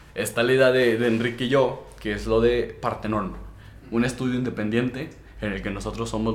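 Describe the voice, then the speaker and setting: A man talks at a fairly quick pace with medium pitch and fairly even intonation. Room echo is audible. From Mexico, Durango. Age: young. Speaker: podcast host and rapper. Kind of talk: casual chat. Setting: hot small room.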